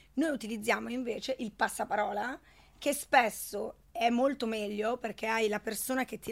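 A normal speaking voice with ordinary pitch variation comes through on a very clean recording with a silent background. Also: woman. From Italy, schooled in Switzerland from 14. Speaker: network marketing entrepreneur. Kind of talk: interview. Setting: studio.

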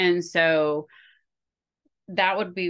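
A woman speaks in a normal speaking voice with an American accent. Her pitch sits fairly low and her intonation stays fairly even. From US Pacific Northwest. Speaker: college professor and event organizer. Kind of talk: casual interview.

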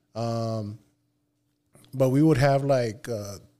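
This man has a dark, mellow tone at medium pitch. He speaks at a fairly slow pace with fairly even intonation. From Nogales, Sonora, Mexico. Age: 30s. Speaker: streamer. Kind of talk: casual chat.

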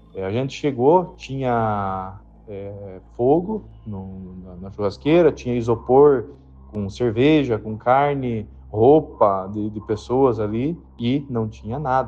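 Over background music, a man speaks at a very slow pace in a medium pitch, with lively intonation and big swings in loudness. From Paraná, Brazil. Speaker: listener sharing a story. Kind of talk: recorded personal story.

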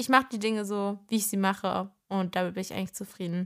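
An ordinary speaking voice from a woman at medium pitch, with fairly even intonation and a fairly quick pace, on a very clean recording with a silent background. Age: 20s. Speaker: podcast host and social media creator. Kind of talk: casual solo podcast chat.

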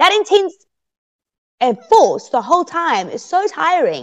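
The sound is dry and close with no echo. A woman with an extremely high pitch speaks in an animated tone at a moderate pace. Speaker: reality TV contestant. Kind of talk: interview. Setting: video call.

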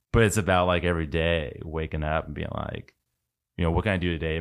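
Very fast and very deep, a man speaks with an American accent and fairly even intonation. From Washington State, US Pacific Northwest. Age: 30s. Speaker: podcast guest, tech and business professional. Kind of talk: casual chat. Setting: studio.

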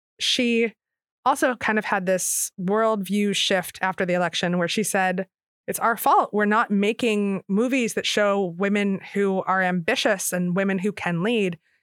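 In an American accent, a woman with an ordinary speaking voice talks at medium pitch and a fairly slow pace, with fairly even intonation, very even loudness and a very clean recording over a silent background. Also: dry, close sound with no echo. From Philadelphia area. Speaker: novelist and journalist. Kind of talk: interview.

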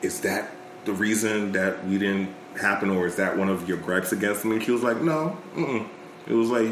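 A man's fairly low voice at a moderate pace, with very even loudness, audible room echo and noticeable background noise. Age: 30s. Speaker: podcast guest. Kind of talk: casual chat.

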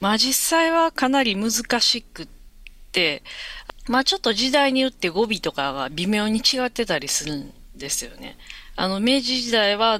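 A woman's bright, sharp voice sits at a fairly high pitch. She moves at a moderate pace with very wide pitch swings. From Osaka, Japan. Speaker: novelist. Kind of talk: casual interview chat. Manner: hesitant, many fillers.

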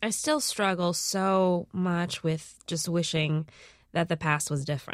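A woman talks in an unremarkable speaking voice. Her pitch is fairly low and her intonation fairly even. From Minnesota, US, Lao immigrant family. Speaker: comedian, podcast host and filmmaker. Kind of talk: interview.

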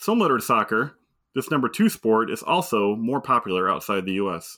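A bright, sharp tone at a fairly quick pace, with an American accent, in a very clean recording against a silent background. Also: man. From Michigan. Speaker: trivia quizmaster and school technology director. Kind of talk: quiz hosting.

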